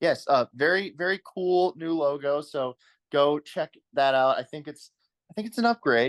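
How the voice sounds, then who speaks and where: With an American accent, a man speaks at a moderate pace and fairly high pitch, showing ordinary pitch variation in a dry, close sound with no echo. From Virginia, US. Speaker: golf podcast host. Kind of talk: casual podcast chat. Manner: halting.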